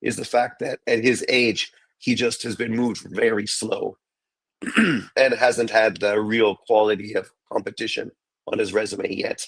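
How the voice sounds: A man's raspy, put-on character voice at medium pitch and a moderate pace.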